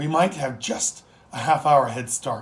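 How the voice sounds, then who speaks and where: Using a put-on character voice, a man speaks raspy and at a fairly high pitch, keeping a fairly slow pace. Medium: read story. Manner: commanding, confident.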